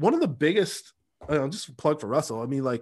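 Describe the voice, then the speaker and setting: A man with an American accent talks at a fairly quick pace in a normal speaking voice. His pitch is fairly high and his intonation lively. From US Pacific Northwest, Seattle. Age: 40s. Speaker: sales and marketing coach. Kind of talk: casual interview chat.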